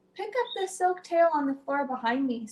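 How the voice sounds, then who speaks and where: In a put-on character voice, a woman speaks at a moderate pace, her tone gentle, squeaky and high-pitched. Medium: read story. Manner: gentle, encouraging.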